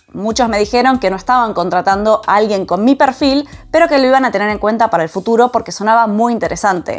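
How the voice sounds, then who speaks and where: Speaking at a very fast pace in an Argentine accent, a woman with a fairly high pitch comes through over noticeable background noise. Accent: Argentine Spanish (Rioplatense). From Argentina. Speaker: vlogger, systems engineer living abroad. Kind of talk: personal storytelling vlog.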